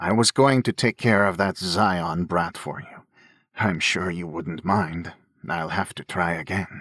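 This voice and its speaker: Using a put-on character voice, a man speaks at a fairly slow pace with a very deep, low pitch, and the sound is dry and close with no echo. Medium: read story. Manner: condescending, knowing.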